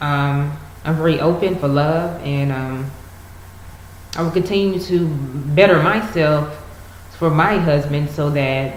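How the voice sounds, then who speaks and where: Very slowly, a woman speaks in a very deep, low voice with ordinary pitch variation and long, frequent pauses. Noticeable background noise is present. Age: 20s. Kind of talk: casual talk to camera.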